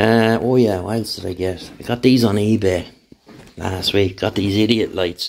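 A man speaks at a moderate pace in an Irish accent, his pitch fairly low. His intonation stays fairly even over light background noise. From Ireland. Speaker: YouTuber, motorbike tinkerer. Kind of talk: casual vlog update. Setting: home workshop, on camera. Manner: rambling, relaxed. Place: workshop. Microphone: phone near.

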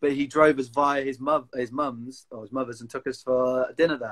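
A man with a Cumbrian accent, medium in pitch, fairly quick and monotone, flat in intonation, over a quiet background. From Lake District, England; England. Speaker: outdoor enthusiast; interview guest. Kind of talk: casual chat. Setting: video call. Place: home room. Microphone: video call.

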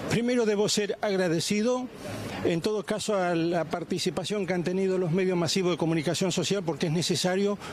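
A man speaks at a fairly quick pace in a high pitch, his loudness very even. Light background noise can be heard. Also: ordinary pitch variation, dry sound with no echo. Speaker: grandfather of alleged abuse victim. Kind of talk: news interview answer. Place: street. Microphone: handheld.

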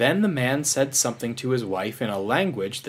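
The speaker delivers plain reading aloud.

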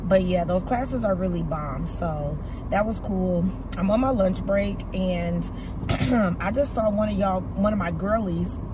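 A woman's medium-pitched voice at a fairly slow pace, with ordinary pitch variation over loud background noise

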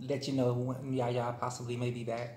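Somewhat breathy, a man speaks at a moderate pace with monotone, flat intonation, with audible room echo and light background noise. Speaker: vlogger. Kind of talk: casual vlog chat while eating. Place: home room. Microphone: phone near.

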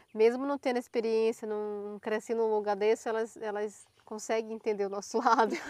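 The speech runs with hardly any pauses. Its intonation is monotone and flat. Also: woman, fairly high pitch for a woman, moderate pace. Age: 20s. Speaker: YouTuber. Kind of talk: casual chat. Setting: outdoors.

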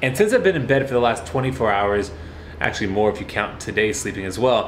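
A man speaks while noticeable background noise is present. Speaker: vlogger. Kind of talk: casual vlog chat. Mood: recovering from food poisoning, upbeat. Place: home room. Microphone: phone near.

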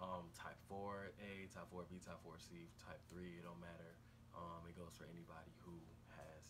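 A man speaks in a very deep, low voice at a fairly slow pace, his intonation flat and monotone. Noticeable background noise runs under the recording. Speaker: hair care vlogger. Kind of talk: casual vlog tutorial. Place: home room. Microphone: phone near.

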